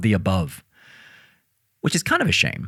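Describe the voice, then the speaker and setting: The speaker uses lively intonation with an American accent. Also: man. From United States. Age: 40s. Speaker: podcast host. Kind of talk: scripted monologue.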